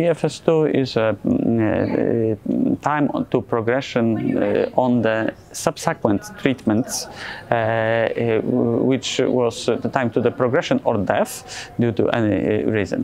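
Slow, slightly mellow speech with vocal fry, ordinary pitch variation, few pauses and faint background noise. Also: man, medium pitch for a man.

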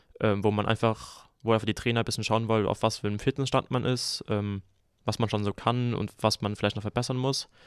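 This man talks at a medium pitch with fairly even intonation, captured in a very clean recording with a silent background and a dry, close sound with no echo. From Germany, southern Hesse (Groß-Umstadt). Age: young. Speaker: handball player. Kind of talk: casual chat.

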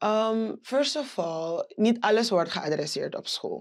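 Quiet surrounds the recording. The voice belongs to a woman. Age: 20s. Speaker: business owner; guest. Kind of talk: interview. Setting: studio. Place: studio. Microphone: lapel.

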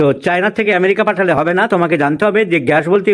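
Here a man speaks at a high pitch. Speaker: senior homeopathic doctor. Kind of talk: teaching demonstration with patient.

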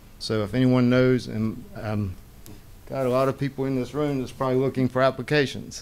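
A man at a moderate pace, his intonation fairly even. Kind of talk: public meeting testimony. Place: hall. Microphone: podium.

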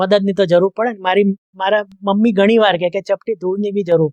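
The sound is dry and close, with no echo. This man's voice is high-pitched. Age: 50s. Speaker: film reviewer. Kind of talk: monologue film review.

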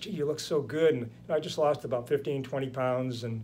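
The speaker has an American accent and fairly even intonation. Light background noise can be heard. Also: man. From United States. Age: 60s. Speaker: chiropractor. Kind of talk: interview. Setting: podcast. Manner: halting. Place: home room.

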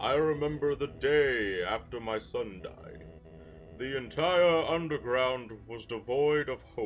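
A man's put-on character voice at medium pitch and a fairly slow pace, with clear background noise. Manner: solemn, dramatic.

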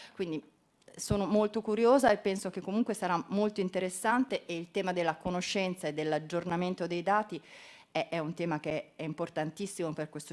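Lively intonation marks this woman's speech. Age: 50s. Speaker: environment ministry official; presenter. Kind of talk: conference talk. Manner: halting, many fillers. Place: hall.

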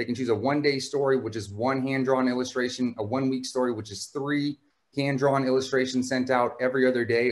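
Against a quiet background, a man speaks at a very fast pace in a medium pitch. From Houston, Texas. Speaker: startup founder. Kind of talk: panel discussion. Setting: video call. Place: home room. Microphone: video call.

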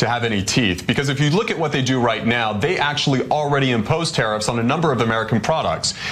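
Music plays in the background as a man speaks at a very fast pace. His medium pitch shows ordinary variation. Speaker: news anchor. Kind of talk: international news analysis. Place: studio. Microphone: lapel.

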